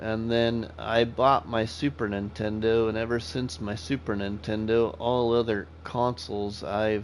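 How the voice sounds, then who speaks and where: A man speaks in an ordinary speaking voice, with an American accent and a medium pitch. His pace is fairly slow, with ordinary pitch variation and hardly any pauses. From US Midwest (Iowa/Nebraska). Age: 40s. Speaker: gaming streamer. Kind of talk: live gameplay stream chatting with viewers. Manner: casual, conversational.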